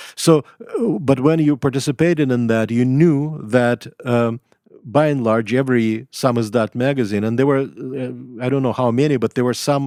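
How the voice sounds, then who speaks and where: Speaking at a moderate pace with a Russian accent, a man has a medium pitch, fairly even intonation and a dark, mellow tone, in a dry, close sound with no echo. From Russia, Leningrad. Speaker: writer and professor. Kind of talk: interview. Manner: halting, many fillers.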